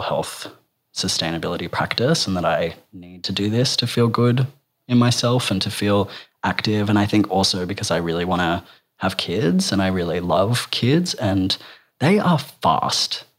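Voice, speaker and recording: The man's voice is very deep and low, showing ordinary pitch variation. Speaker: writer, performer and gender educator. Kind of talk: casual interview.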